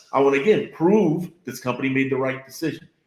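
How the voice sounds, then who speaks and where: Talking at a fairly quick pace, a man with an American accent uses lively intonation. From Florida. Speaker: business leader. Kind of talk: interview. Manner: halting.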